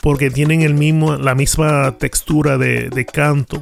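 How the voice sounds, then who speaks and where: Music sits in the background as a man speaks at a moderate pace. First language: Spanish. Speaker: music collector reviewing vinyl records. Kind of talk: casual review vlog. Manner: halting, code-switching between Spanish and English.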